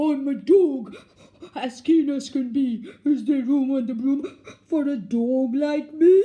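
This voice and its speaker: A put-on character voice pitched high moves at a fairly slow pace. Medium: read story.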